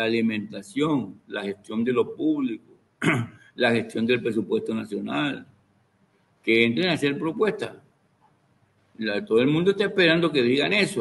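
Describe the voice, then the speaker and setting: This man talks at a fairly quick clip in a fairly high voice, his pitch swinging very widely. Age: 70s. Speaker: university professor, political analyst.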